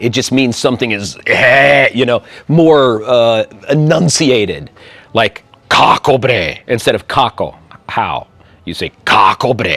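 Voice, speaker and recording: An animated man with an American accent, medium pitch, ordinary pitch variation and a fairly slow pace, against noticeable background noise. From US Midwest. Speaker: YouTuber and expat. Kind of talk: interview.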